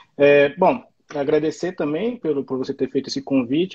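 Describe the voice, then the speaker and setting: A man with a fairly high voice talks at a moderate pace. He sounds somewhat breathy, with ordinary pitch variation. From Brazil. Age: 40s. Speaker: immigrant worker in the US. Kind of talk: live stream interview.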